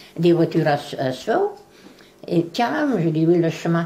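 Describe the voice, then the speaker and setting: Noticeable background noise runs behind the recording. A woman talks over it at a fairly slow pace. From Beauce, Loire valley, France. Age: 80s+. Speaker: writer of local letters. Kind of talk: interview answer.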